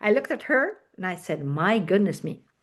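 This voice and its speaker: A woman speaks at a fairly slow pace in a normal speaking voice, her pitch medium. The background is quiet. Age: 60s. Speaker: network marketing leader. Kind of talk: guest talk in online team meeting.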